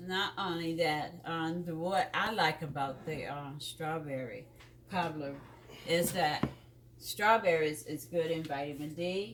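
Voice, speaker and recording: Fairly slow speech from a woman with a very deep, low pitch, over noticeable background noise. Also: ordinary pitch variation. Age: 60s. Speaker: host's partner, retiree. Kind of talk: casual chat. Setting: home kitchen. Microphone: too far from the mic.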